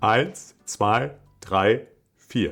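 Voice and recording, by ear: A man's nasal, put-on character voice at a fairly low pitch, with music in the background.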